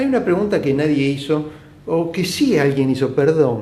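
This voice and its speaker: A man's fairly high voice at a fairly quick pace, with audible room echo and noticeable background noise. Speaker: bariatric surgeon. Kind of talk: live Q&A stream. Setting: live video stream from clinic.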